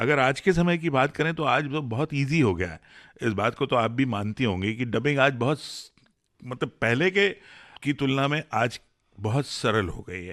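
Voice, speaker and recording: The recording is very clean, with a silent background. A man uses an ordinary speaking voice at a medium pitch and a moderate pace, with lively intonation. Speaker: radio host, dubbing director. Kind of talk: radio interview.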